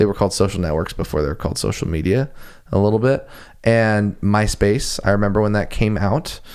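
This man talks at a fairly quick pace in a fairly low pitch, with ordinary pitch variation and a plain, everyday voice. The recording is very clean, with a silent background. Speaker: musician and aspiring politician. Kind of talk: casual conversation.

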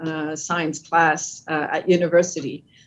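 In a French Canadian accent, a woman speaks at a fairly slow pace. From French Canada, Quebec. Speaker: company CEO. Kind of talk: interview conversation. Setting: video call.

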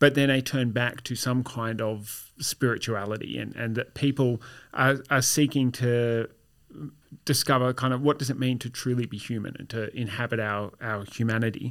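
With an Australian accent and a medium pitch, a man speaks at a moderate pace with fairly even intonation on a very clean recording with a silent background. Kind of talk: casual chat. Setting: studio.

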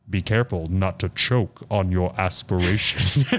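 In a put-on robotic character voice, a man speaks at a very deep, low pitch and a moderate pace. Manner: menacing, sneering.

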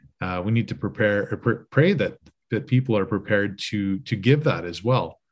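A man has an unremarkable speaking voice, fairly low in pitch with ordinary pitch variation. He goes at a moderate pace on a very clean recording with a silent background. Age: 40s. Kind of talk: casual chat.

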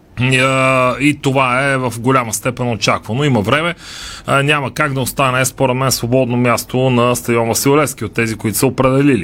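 A man speaks in a plain, everyday voice at a medium pitch. His pace is moderate. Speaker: sports radio host. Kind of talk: radio talk show discussion. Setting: radio studio.

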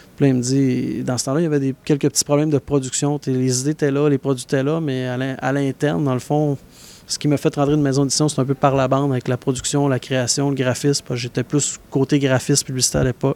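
Recorded dry and close with no echo, a man with a fairly high pitch and a dark, mellow tone speaks very fast in a flat monotone. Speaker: book publisher. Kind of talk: interview.

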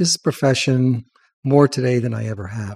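A man with an American accent speaks at a moderate pace in a medium pitch, his tone dark and mellow and somewhat breathy, with ordinary pitch variation. The recording is very clean with a silent background and a dry, close sound with no echo. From Long Island, New York. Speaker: veterinarian and columnist. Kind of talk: casual interview.

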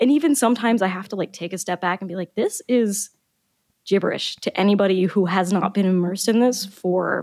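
A woman's ordinary speaking voice with an American accent, medium in pitch with ordinary pitch variation, fairly quick, and dry and close with no echo. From US South, Florida (Boca Raton). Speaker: biology researcher and science fiction author. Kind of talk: casual interview chat.

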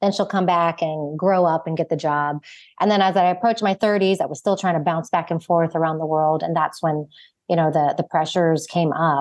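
A woman speaks fairly quickly in a normal speaking voice with an American accent. Her pitch sits fairly low, and her intonation stays fairly even. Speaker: founder and author. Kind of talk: casual interview chat.

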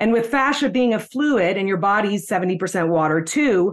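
Against a quiet background, an unremarkable speaking voice moves at a fairly quick pace. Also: woman. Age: 40s. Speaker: fascia movement teacher. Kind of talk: interview.

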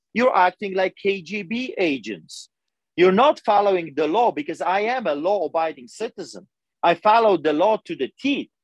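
The speaker has a Polish accent and lively intonation at a moderate pace. The sound is dry and close, with no echo. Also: man, high pitch for a man. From Poland. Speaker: pastor. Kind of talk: interview testimony. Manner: animated.

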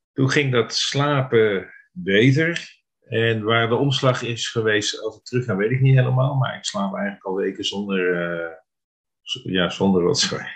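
An unremarkable speaking voice from a man, medium in pitch, with lively intonation at a fairly slow pace. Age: 50s. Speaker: therapy client. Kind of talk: interview.

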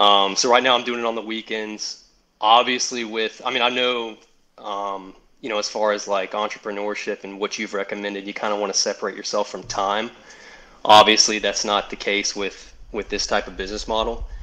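The tone is bright and sharp, with a fairly quick pace. The intonation stays monotone and flat. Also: man, fairly low pitch for a man. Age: 30s. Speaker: caller, remote employee with side business. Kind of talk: call-in advice conversation.

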